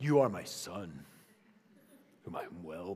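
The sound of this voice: Putting on a character voice, a man booms at a very deep, low pitch and a fairly slow pace.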